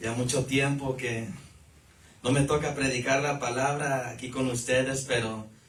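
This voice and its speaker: A man speaks at a fairly slow pace with fairly even intonation and a medium pitch. Noticeable background noise and audible room echo fill the recording. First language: English (speaking Spanish). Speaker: lay preacher. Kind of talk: sermon. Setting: church service. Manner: halting.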